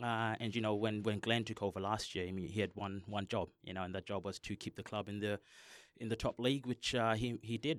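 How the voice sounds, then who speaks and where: A plain, everyday voice from a man, fairly low in pitch, fairly quick, with fairly even intonation, on a very clean recording with a silent background. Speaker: football coach. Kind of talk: casual chat. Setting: studio.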